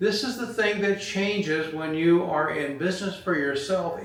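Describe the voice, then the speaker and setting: With an American accent, a man speaks at a moderate pace and a high pitch with ordinary pitch variation, over audible room echo and noticeable background noise. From California. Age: 70s. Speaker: retired business owner. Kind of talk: motivational talk. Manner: halting, many fillers.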